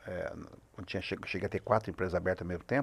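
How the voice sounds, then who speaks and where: This is a very clean recording of a man, with a silent background. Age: 60s. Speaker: business consultant. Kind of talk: podcast interview. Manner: halting, with many fillers.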